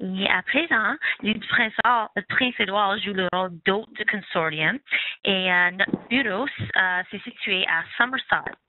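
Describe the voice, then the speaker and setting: With ordinary pitch variation and a medium pitch, a woman talks at a fairly slow pace. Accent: non-native. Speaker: webinar presenter, health education consortium staff. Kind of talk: webinar presentation. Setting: online webinar. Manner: hesitant, many fillers.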